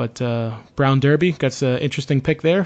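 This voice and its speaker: Speaking with a Boston accent, a man uses a medium pitch and ordinary pitch variation. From US Northeast, Boston. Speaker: podcast host. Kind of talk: casual chat. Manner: halting, many fillers.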